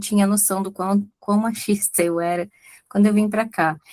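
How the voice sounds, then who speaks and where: Her tone is dark and mellow, and the woman's intonation stays monotone and flat. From Brazil. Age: 60s. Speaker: audience participant. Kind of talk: casual chat. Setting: video call.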